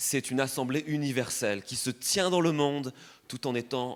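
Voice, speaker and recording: A man talks in a plain, everyday voice at medium pitch. His pace is moderate and his pitch variation ordinary. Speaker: preacher. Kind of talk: sermon.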